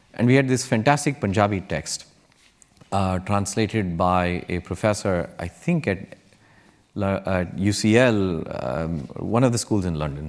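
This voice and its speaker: A man with a Kannada accent speaks at a fairly low pitch. His pace is fairly slow and his intonation lively. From India. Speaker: tech entrepreneur. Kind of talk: panel discussion. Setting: stage with audience. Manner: hesitant, with fillers.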